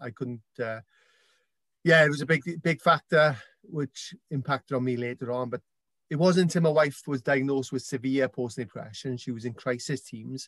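A man with a South Wales accent talks at a medium pitch and moderate pace with ordinary pitch variation, in a dry, close sound with no echo. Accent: South Wales, Welsh. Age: 40s. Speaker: author and campaigner. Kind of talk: interview conversation.

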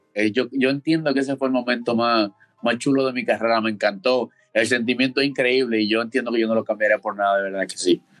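A man's medium-pitched voice races along very fast, his intonation fairly even. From Dominican Republic, Santo Domingo. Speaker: college baseball player. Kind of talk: interview.

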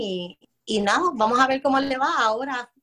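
A woman with a bright, sharp tone speaks at a fairly slow pace with ordinary pitch variation. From Puerto Rico, Loíza. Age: 20s. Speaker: cultural organizer and community educator. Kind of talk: interview.

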